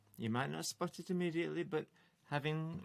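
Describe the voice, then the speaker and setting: Music plays behind a man whose pitch swings very widely as he talks at a moderate speed. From Stoke-on-Trent, England. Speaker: folk singer-songwriter. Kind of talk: casual chat.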